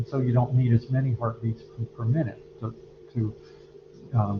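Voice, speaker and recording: Somewhat breathy, this man's medium-pitched voice shows ordinary pitch variation. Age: 60s. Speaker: anatomy and physiology instructor. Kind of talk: lecture. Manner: halting, many fillers.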